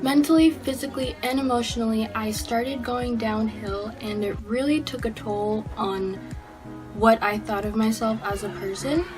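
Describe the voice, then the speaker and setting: With music in the background, a woman speaks at a moderate pace, her fairly high pitch showing ordinary variation. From Filipino-Mexican heritage. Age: young. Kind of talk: casual talk to camera.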